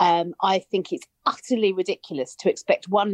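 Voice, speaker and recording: A woman with a British accent speaks at a moderate pace, her pitch swinging very widely. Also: dry, close sound with no echo. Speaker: writer and commentator. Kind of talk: panel discussion.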